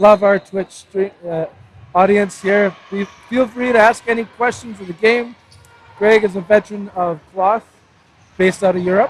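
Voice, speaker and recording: Over music in the background, a man speaks at a high pitch and a moderate pace with fairly even intonation. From Canada. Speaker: sports commentator. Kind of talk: live commentary.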